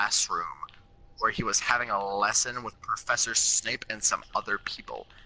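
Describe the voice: Someone reads aloud in a plain manner.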